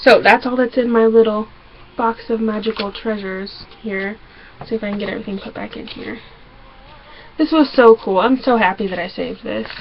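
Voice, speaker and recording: Over noticeable background noise, a woman with an American accent talks at a fairly quick pace in a fairly high pitch, her intonation fairly even but her loudness swinging widely. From Arkansas. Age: 20s. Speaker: vlogger. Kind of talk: casual vlog. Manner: fast.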